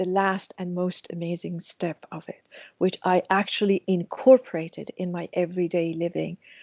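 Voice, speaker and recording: In a Persian accent, the speaker has a dark, mellow tone, captured dry and close with no echo against a quiet background. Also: woman. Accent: Persian (Iranian) accent in English. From Iran. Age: 60s. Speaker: mindfulness teacher. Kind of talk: interview.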